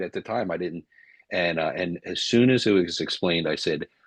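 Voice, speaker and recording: A man with an American accent talks at a fairly quick pace. The sound is dry and close, with no echo. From US East Coast. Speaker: business coach. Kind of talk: webinar discussion. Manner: loud; animated.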